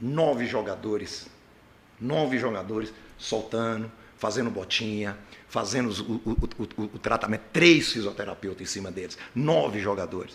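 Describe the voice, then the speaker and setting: This man's medium-pitched voice has lively intonation and moves at a moderate pace. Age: 60s. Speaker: football coach. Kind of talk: press conference.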